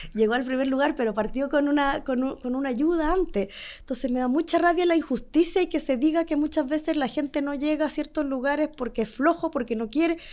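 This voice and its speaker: On a very clean recording with a silent background, a woman speaks at a high pitch with ordinary pitch variation. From Chile. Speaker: entrepreneur. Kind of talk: interview.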